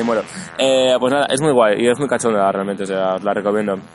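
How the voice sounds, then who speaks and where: At a very fast pace, a man of medium pitch speaks with fairly even intonation over noticeable background noise. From Barcelona, Spain. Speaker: podcast host. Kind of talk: casual chat. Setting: recorded in person outdoors near an event venue.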